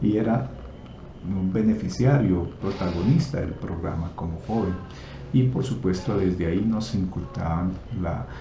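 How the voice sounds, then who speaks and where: Noticeable background noise and audible room echo surround this recording. A man talks at a moderate pace in a very deep, low voice. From Colombia, Nariño (Pasto) and Putumayo. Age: 60s. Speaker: entrepreneur. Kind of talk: personal presentation video. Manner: halting, with fillers.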